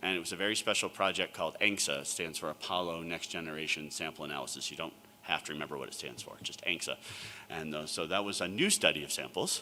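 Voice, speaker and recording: A man with a very deep, low pitch and an American accent at a very fast pace, over noticeable background noise. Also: fairly even intonation. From New York. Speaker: planetary scientist and sample curator. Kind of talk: conference talk.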